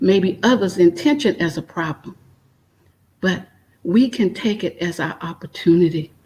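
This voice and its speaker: A woman with a medium pitch and a somewhat breathy voice speaks at a fairly slow pace with ordinary pitch variation. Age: 60s. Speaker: retired emergency nurse and energy healer. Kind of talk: spiritual conversation.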